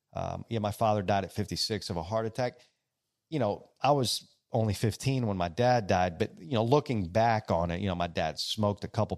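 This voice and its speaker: At a moderate pace, a man with a normal speaking voice speaks at a fairly low pitch with ordinary pitch variation. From Greece, Greek-American family. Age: 40s. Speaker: salon owner. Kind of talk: casual interview chat. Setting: studio in a salon, live event.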